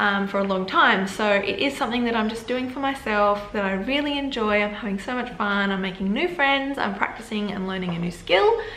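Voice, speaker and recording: A woman speaks at a fairly quick pace with hardly any pauses, her pitch medium and its variation ordinary. There is noticeable background noise and audible room echo. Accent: Australian. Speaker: vlogger. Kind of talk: casual chat. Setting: home video setup.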